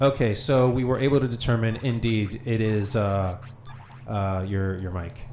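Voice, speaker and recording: Music plays in the background and room echo is audible as a man of medium pitch speaks at a moderate pace. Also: ordinary pitch variation. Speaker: gaming streamer. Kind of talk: casual chat. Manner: loud. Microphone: echo picked up via co-host's mic.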